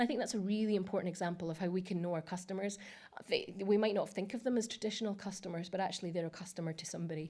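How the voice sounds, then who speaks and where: A woman of medium pitch talks at a very fast pace with fairly even intonation. Her tone is dark and mellow, with audible room echo. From Scotland, Edinburgh. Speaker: technology industry speaker. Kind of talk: conference presentation. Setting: stage with audience. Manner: hesitant, many fillers; speeding up.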